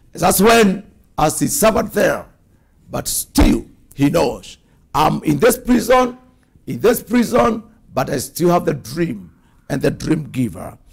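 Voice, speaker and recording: An animated, high-pitched man with very wide pitch swings, fairly slow pace, long, frequent pauses, quiet background. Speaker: preacher. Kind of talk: sermon. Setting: church. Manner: animated, forceful preaching with declarations and exhortations. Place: studio. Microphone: lapel.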